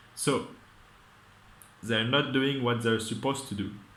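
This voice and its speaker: This man talks at a medium pitch with fairly even intonation. Audible room echo surrounds his voice. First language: not English. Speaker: vlogger. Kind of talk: casual monologue. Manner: halting.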